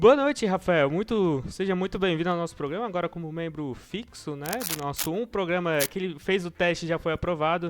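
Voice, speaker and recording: In a Florianópolis accent, a man speaks at a high pitch. His pace is fairly quick. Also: ordinary pitch variation, hardly any pauses. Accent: Florianópolis (manezinho). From Florianópolis, Brazil. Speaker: podcast host. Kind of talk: casual podcast chat.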